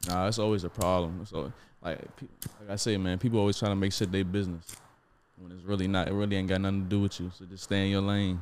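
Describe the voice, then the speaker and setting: Very fast and very deep, a man's voice stays monotone and flat in intonation while its loudness swings widely. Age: 20s. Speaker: podcast co-host. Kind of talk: casual chat.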